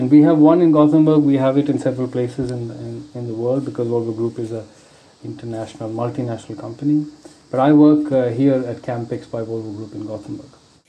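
Very fast speech with fairly even intonation and big swings in loudness, over noticeable background noise. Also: man, medium pitch for a man. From India, Bangalore. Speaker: engineer at a truck maker. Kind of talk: interview. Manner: halting, many fillers.

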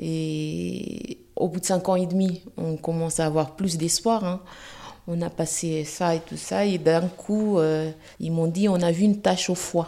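The voice has a dark, mellow tone and fairly even intonation, moving at a very slow pace. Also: woman, fairly low pitch for a woman. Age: 40s. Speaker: cancer patient. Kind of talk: testimony.

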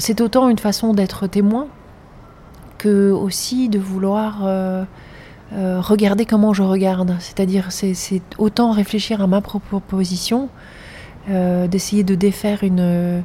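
A woman's somewhat breathy voice, dark and mellow in tone, in a monotone, flat delivery at a very slow pace with long, frequent pauses. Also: medium pitch for a woman. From grew up in several countries. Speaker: filmmaker and artist. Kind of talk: interview. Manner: halting, frequent repetitions.

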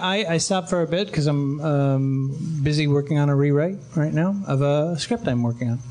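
The speech moves at a moderate pace with hardly any pauses, very even loudness and ordinary pitch variation. Noticeable background noise is present. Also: man, fairly high pitch for a man.

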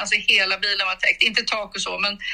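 A woman speaks over noticeable background noise. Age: 60s. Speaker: mother of the hosts. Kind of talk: casual chat.

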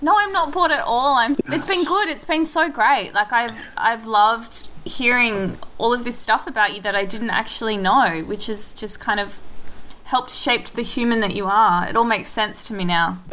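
Fairly high in pitch, a woman speaks in an Australian accent at a moderate pace. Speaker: podcast host. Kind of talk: casual interview chat.

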